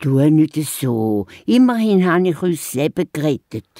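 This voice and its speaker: A woman uses a put-on character voice with a very deep, low pitch. Her pace is fairly slow. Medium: audio drama. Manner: lively.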